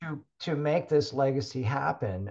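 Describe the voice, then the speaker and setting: A somewhat breathy man with an American accent and lively intonation, against a quiet background. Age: 60s. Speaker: health and fitness technology company founder. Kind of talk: casual interview.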